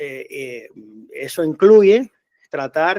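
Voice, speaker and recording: In a Cuban accent, a man speaks with ordinary pitch variation, the sound dry and close with no echo. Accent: Cuban Spanish with Canarian-like lilt. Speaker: association president, activist. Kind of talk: interview. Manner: halting, many fillers.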